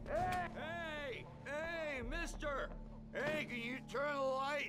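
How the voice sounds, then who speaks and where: Over loud music in the background, a man uses a put-on character voice, raised and projected, at a very slow pace. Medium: video game. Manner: rambling, anxious.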